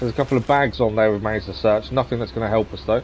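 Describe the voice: Fairly low in pitch and slightly mellow in tone, a man talks at a fairly quick pace with ordinary pitch variation.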